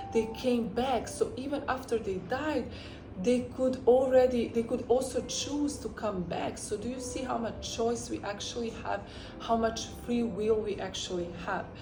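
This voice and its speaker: A woman with a non-native accent and a fairly high pitch speaks at a fairly slow pace, with audible room echo and noticeable background noise. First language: not English. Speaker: spiritual teacher and YouTuber. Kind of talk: spiritual teaching monologue. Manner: animated, emphatic.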